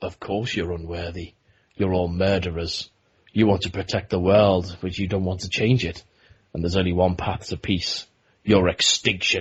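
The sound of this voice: A put-on, menacing character voice from a man, very deep and low in pitch, monotone and flat, at a moderate pace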